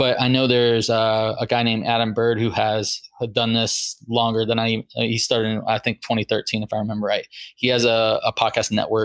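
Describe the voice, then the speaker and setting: A man's medium-pitched voice at a fairly quick pace, very even in loudness, with a dry, close sound and no echo. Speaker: Air Force veteran and podcaster. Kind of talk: casual interview. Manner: animated.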